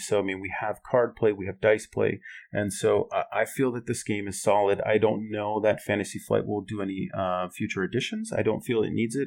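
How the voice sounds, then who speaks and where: In an American accent, a man with a plain, everyday voice speaks at a fairly low pitch and a fairly quick pace. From Minnesota, Twin Cities. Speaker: board game enthusiast. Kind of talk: casual chat.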